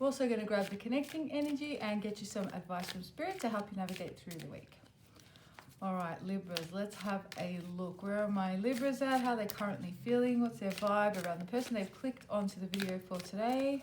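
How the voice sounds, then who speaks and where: A woman with a normal speaking voice talks at a fairly quick pace, her medium pitch showing ordinary pitch variation. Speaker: tarot reader. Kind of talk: tarot reading to camera. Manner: casual, many fillers.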